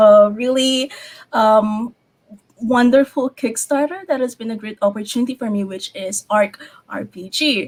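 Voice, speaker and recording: Somewhat breathy, a woman speaks at a fairly high pitch and a fairly slow pace with ordinary pitch variation. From Philippines. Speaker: game and graphic designer. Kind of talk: panel discussion.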